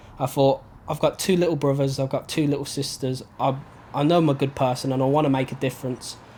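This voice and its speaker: A man with a Birmingham accent speaks very fast in a flat monotone, his fairly high voice dark, mellow and somewhat breathy. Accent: Birmingham (Brummie) English. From Birmingham, England. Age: 20s. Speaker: holiday rep and young entrepreneur. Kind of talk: personal testimony interview.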